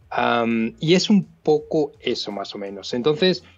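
A man with a Castilian accent talks at a fairly high pitch with lively intonation. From Spain. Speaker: visual effects supervisor. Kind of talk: casual interview chat. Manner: halting.

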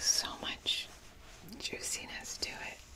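A woman speaks over noticeable background noise. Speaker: ASMR creator. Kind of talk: ASMR whispered roleplay. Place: home room.

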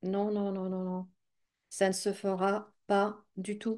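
Very slow and monotone, a woman talks with a dark, mellow tone at a medium pitch. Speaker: psychic YouTuber. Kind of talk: casual vlog monologue. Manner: halting, many hesitations and repeated words.

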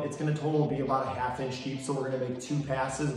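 A man's flat, monotone voice in strong room echo, with light background noise. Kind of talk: tutorial. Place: garage. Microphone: camera far.

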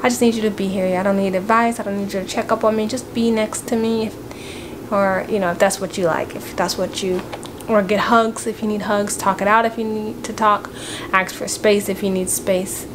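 Woman's voice at a fairly quick pace, fairly even in intonation, amid noticeable background noise. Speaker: family vlogger. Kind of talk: casual vlog chat. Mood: grieving, sad. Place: home room. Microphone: phone near.

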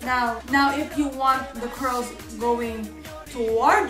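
Amid clear music in the background and audible room echo, a woman with a high pitch speaks with a non-native accent. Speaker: hair tutorial vlogger. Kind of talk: casual talk to camera. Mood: annoyed, in pain. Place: bathroom. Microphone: phone near.

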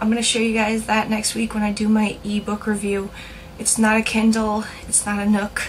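Over noticeable background noise, the speaker talks at a moderate pace in a monotone, flat intonation. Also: woman, fairly high pitch for a woman. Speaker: video blogger. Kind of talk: casual vlog monologue. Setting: home video, talking to camera. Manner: casual, chatty, halting.

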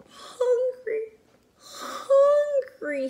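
This put-on character voice is pitched extremely high. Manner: whimpering, sobbing.

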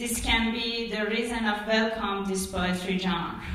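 A woman with a Persian accent speaks with fairly even intonation, in audible room echo. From Iran. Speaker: poet. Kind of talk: talk. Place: hall.

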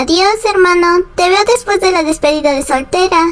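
Over light background noise, a woman speaks with extremely high pitch. Her loudness stays very even at a moderate pace. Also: ordinary pitch variation. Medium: fan dub. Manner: smug, mocking.

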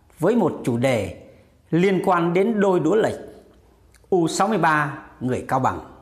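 Against a quiet background, a man speaks at a high pitch and a very slow pace, pausing long and often. His intonation is lively and his loudness very even. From Vietnam. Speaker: YouTube commentary vlogger. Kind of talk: casual monologue commentary. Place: home room. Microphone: lapel.

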